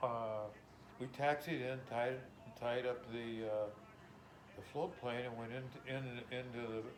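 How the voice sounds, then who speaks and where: Over noticeable background noise, a man speaks at a very slow pace with long, frequent pauses. His medium-pitched voice stays monotone and flat. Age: 80s. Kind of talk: interview answer.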